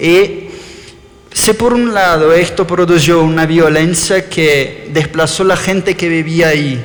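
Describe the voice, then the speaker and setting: Very slow speech in an Argentine accent, with fairly even intonation. Noticeable background noise and audible room echo fill the recording. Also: man. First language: Portuguese (speaking Spanish). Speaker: architect. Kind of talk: lecture. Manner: halting.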